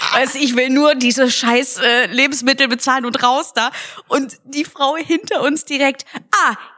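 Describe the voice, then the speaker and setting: A woman speaks in a high, raised and projected voice with an animated tone, ordinary pitch variation, a moderate pace and very even loudness. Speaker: podcast co-host, comedian. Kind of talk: casual chat. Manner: animated, laughing often.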